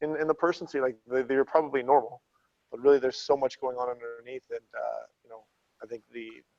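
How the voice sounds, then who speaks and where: A man mumbles in a dry, close sound with no echo. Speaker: former fighter, athletics coach. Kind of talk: casual chat. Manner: mumbling.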